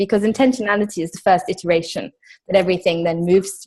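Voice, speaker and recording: A somewhat breathy woman with a South African accent, very fast pace and ordinary pitch variation. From England. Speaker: webinar attendee. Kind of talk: casual Q&A chat. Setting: video call.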